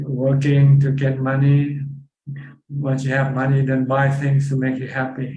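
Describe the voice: In a room with strong echo, a man speaks at a medium pitch and a fairly slow pace, his tone dark and mellow and his intonation monotone and flat.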